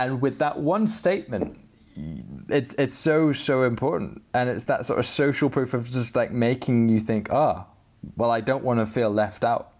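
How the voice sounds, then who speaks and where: A man with a plain, everyday voice speaks at medium pitch and a moderate pace, showing ordinary pitch variation and very even loudness. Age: 20s. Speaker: user experience designer. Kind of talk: casual chat.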